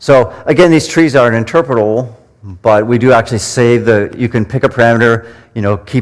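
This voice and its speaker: A man talks fairly quickly with ordinary pitch variation. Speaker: statistics lecturer. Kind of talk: lecture. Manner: fast; animated.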